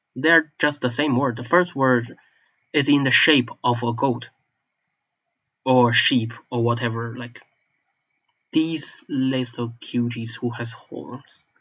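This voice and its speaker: A man with a strong Chinese accent at a very slow pace, his intonation fairly even. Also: long, frequent pauses. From northeast China (Manchuria). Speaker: language enthusiast vlogger. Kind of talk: casual monologue. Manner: halting, self-correcting.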